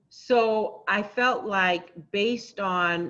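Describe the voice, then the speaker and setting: A woman talks with a Haitian accent at a medium pitch. Her tone is bright and sharp, with ordinary pitch variation. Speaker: motivational speaker and radio host. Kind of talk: interview. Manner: energetic.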